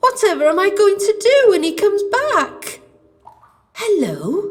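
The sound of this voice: In a put-on character voice, a woman speaks slowly at an extremely high pitch with big pitch swings.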